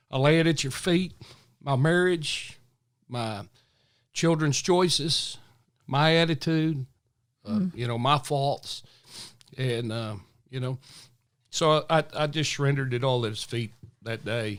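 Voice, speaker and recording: In a Southern US accent, a man talks at a fairly slow pace with long, frequent pauses on a very clean recording with a silent background. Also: fairly high pitch for a man, ordinary pitch variation. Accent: Southern US drawl. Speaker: retired police officer. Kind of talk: interview answer.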